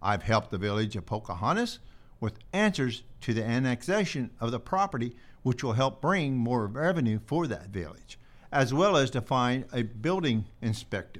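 On a very clean recording with a silent background, a man speaks in an American accent. His pitch is medium, his pace moderate and his intonation lively. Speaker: county board candidate. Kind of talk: candidate interview.

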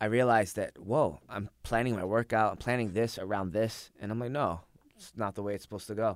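Using an ordinary speaking voice, a man talks at a fairly quick pace with a fairly low pitch, ordinary pitch variation, and big swings in loudness. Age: 20s. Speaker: jiu-jitsu instructor and competitor. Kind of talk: casual chat. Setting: studio.

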